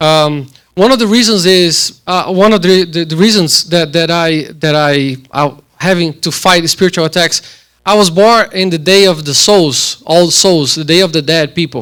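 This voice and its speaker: In a Brazilian Portuguese accent, a man with a high pitch speaks at a moderate pace with ordinary pitch variation. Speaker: church member giving testimony. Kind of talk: testimony. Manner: halting, many repeated words.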